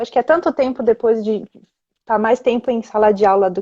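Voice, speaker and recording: A woman talks at a fairly high pitch and fairly quick pace with fairly even intonation. Her tone is dark and mellow, and the sound is dry and close with no echo. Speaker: Spanish teacher. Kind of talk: casual chat. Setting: Instagram livestream.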